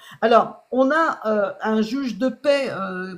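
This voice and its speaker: A woman with a normal speaking voice talks at a fairly high pitch with ordinary pitch variation. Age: 60s. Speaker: health product seller. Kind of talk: sales pitch. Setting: live stream.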